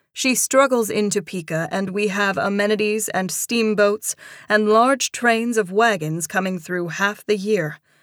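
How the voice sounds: The speaker uses a natural reading voice. Nothing else about the delivery changes.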